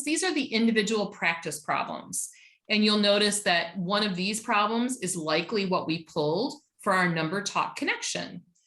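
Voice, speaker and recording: The voice is loud, with a bright, sharp tone and a moderate pace. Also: woman. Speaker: teacher trainer. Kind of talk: online workshop presentation. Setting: video call.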